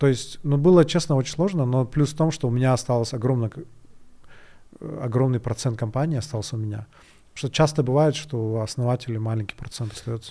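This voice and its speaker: A man talks at a fairly quick pace in a dark, mellow tone with ordinary pitch variation. The recording is very clean and the background silent. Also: medium pitch for a man. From Kyrgyzstan, Bishkek. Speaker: tech startup founder. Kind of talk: interview.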